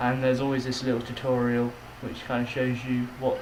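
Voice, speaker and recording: Noticeable background noise behind a man at medium pitch, speaking in a monotone, flat intonation at a fairly quick pace. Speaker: gamer commentator. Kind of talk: gameplay commentary.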